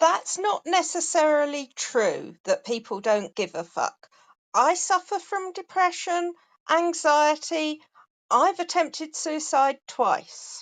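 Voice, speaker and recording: A woman with an English accent speaks at a very slow pace in an extremely high pitch, her intonation lively against a quiet background. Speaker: voiceover artist. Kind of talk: casual chat. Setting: audio chat room.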